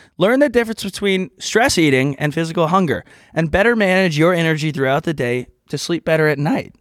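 A man with an American accent speaks at a fairly quick pace and a high pitch, with lively intonation. The recording is very clean, with a silent background. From Texas. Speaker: podcast co-host. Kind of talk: casual chat.

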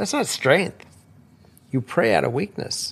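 Vocal fry runs through a man's medium-pitched voice on a very clean recording with a silent background. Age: 60s. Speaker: host's father, returning guest. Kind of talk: casual chat.

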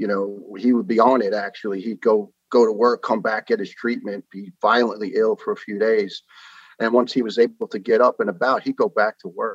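A man's fairly quick speech in a New York accent, with fairly even intonation, dry and close with no echo. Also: medium pitch for a man. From New York (Staten Island). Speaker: retired firefighter, cancer survivor. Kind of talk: interview storytelling. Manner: fast.

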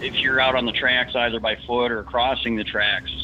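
A man talks with an American accent. Noticeable background noise runs behind him. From Detroit area, Michigan. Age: 40s. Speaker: retired firefighter and trucker. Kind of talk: storytelling interview.

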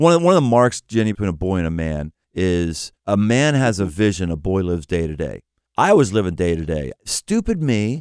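Here a man with a very deep, low pitch talks at a fairly quick pace with lively intonation, on a very clean recording with a silent background and a dry, close sound with no echo. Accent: American. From Pittsburgh, US. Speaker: pastor and author. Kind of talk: casual interview conversation.

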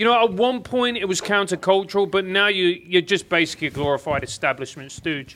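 A man talks at a fairly quick pace with an English accent. His voice is high-pitched. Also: ordinary pitch variation. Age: 40s. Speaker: podcast host and comedian. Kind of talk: casual chat. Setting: studio.

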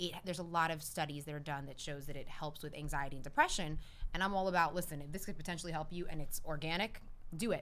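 A woman with a New Jersey accent talks at a very fast pace. Her voice is fairly low, with ordinary pitch variation. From New Jersey, Cuban-American family. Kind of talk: casual chat.

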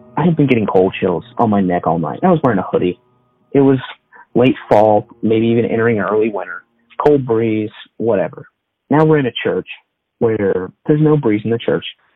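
With music in the background, a man with an American accent speaks at a fairly quick pace and a medium pitch, using lively intonation and long, frequent pauses. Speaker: storyteller. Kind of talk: ghost story telling.

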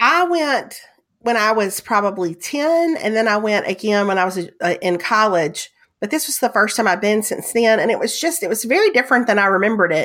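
With a strong Southern US accent, a woman talks at a fairly quick pace in a fairly high pitch with lively intonation. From US South. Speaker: podcast co-host. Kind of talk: casual chat.

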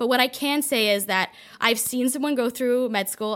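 Using a normal speaking voice, a woman talks at a moderate pace and a fairly high pitch with fairly even intonation. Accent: Canadian. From Toronto, Canada. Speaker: wellness content creator and health coach. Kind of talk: casual interview chat. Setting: studio.

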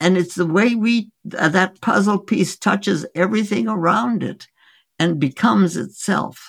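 A woman speaks at a fairly slow pace with lively intonation and vocal fry. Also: medium pitch for a woman. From India. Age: 80s+. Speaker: physician. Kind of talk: interview. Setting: remote call.

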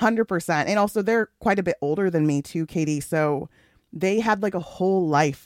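In a very clean recording with a silent background, a woman speaks at medium pitch and a moderate pace, with very even loudness and ordinary pitch variation. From US Pacific Northwest, Seattle area (born in Ghana). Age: 30s. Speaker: audio producer and radio host. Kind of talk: casual interview conversation.

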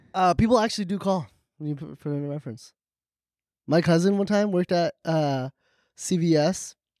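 This man talks at a fairly quick pace with a high pitch, ordinary pitch variation and an animated tone, broken by long, frequent pauses. The sound is dry and close with no echo, on a very clean recording with a silent background. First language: Farsi. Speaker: podcast co-host. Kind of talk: casual chat.

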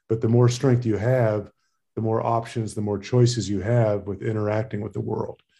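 The tone is dark and mellow, somewhat breathy, at a moderate pace. Intonation stays monotone and flat. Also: man, medium pitch for a man. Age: 50s. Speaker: emergency physician and cyclist. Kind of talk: casual interview.

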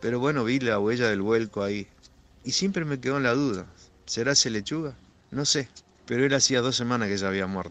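A man speaks in a Rioplatense accent, leaving long, frequent pauses. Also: medium pitch for a man, ordinary pitch variation, fairly quick pace. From Argentina. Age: 60s. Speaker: truck driver. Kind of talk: personal testimony. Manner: halting, with repetitions.

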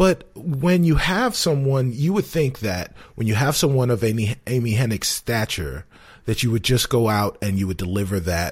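In a very clean recording with a silent background, a man speaks at a moderate pace, somewhat breathy, with very wide pitch swings. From New York, South Bronx. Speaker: gaming podcast co-host. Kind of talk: casual chat.

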